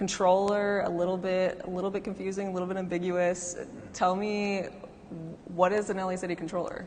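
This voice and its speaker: Speaking at a fairly quick pace, a woman keeps a monotone, flat intonation in a room with audible echo. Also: medium pitch for a woman. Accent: American. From Southern California, north of San Fernando Valley. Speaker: moderator, writer. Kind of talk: moderated panel conversation. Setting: live event in a gallery with audience.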